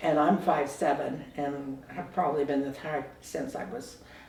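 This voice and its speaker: An American accent comes through noticeable background noise. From San Francisco Bay Area, California. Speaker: oral history interviewee. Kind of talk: oral history interview. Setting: at home.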